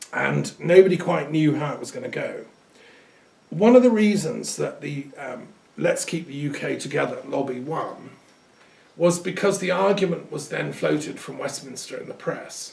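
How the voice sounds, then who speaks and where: A man with an English accent talks at a moderate pace, his loudness swinging widely. Audible room echo surrounds his voice. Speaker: lecturer on culture and metaphysics. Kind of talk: recorded talk. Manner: conversational with hesitations.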